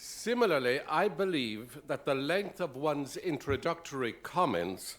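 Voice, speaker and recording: In an Irish accent, a man speaks at a fairly slow pace with very wide pitch swings. The recording is very clean, its background silent. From Ireland. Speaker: university president. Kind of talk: formal speech introduction. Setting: dinner event with audience.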